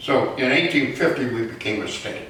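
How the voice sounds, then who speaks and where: A man speaks at a fairly slow pace in an American accent. Room echo is audible, along with noticeable background noise. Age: 90s. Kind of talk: lecture. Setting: museum talk with audience. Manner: halting, many fillers.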